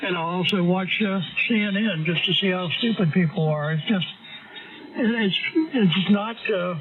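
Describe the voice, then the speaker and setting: A man speaks at a fairly slow pace with a high pitch and fairly even intonation. Noticeable background noise runs underneath. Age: 70s. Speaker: amateur radio operator. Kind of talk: casual on-air chat.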